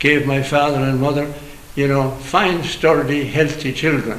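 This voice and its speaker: Speech at a moderate pace comes through noticeable background noise and audible room echo. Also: man. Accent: western Irish. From Ireland, County Clare. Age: 80s+. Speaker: priest. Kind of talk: interview, life story.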